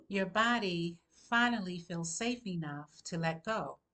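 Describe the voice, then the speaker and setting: Speaking at a very slow pace, a woman uses lively intonation in a medium-pitched, bright, sharp tone. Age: 60s. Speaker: holistic health coach. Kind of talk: health advice monologue. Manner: conversational.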